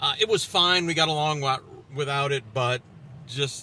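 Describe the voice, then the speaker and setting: Recorded with a dry sound with no echo and light background noise, a man speaks at a moderate pace. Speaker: car reviewer. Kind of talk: car review commentary. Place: car.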